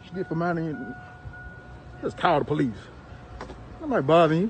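A man races along at a very fast pace with a fairly high pitch and big swings in loudness, in a dry sound with no echo and faint music in the background. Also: lively intonation. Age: 30s. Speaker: bystander filming a confrontation. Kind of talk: heated argument. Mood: defensive, agitated. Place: street. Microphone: phone near.

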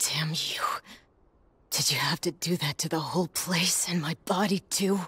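A put-on character voice sits at a middle pitch and a moderate pace. Long, frequent pauses break up the speech. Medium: fan dub. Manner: gruff, indignant.

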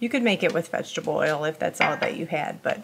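A woman with a fairly low pitch speaks at a moderate pace. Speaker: home cook vlogger. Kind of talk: casual vlog tutorial. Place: kitchen.

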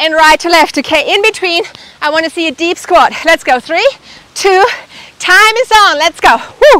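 In a dry recording with no echo, a woman uses a raised, projected voice at a moderate pace. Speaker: fitness instructor. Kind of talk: workout instruction. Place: garden.

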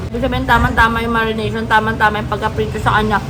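Very fast speech with audible room echo and noticeable background noise. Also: woman. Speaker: food vlogger. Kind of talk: food review vlog. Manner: animated.

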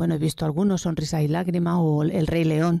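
A woman's voice sits fairly low in pitch, dark and mellow in tone. The sound is dry and close, with no echo. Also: very clean recording, silent background. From Spain, Buñol (Valencia region). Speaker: guest interviewee. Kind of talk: casual interview.

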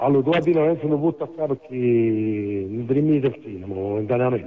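Light background noise behind a man at a fairly quick pace with ordinary pitch variation. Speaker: caller. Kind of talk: heated debate commentary. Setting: phone call. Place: studio.

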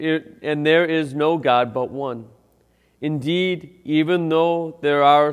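The background is quiet as a man talks. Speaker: priest. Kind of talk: liturgical scripture reading. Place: church. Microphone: lapel.

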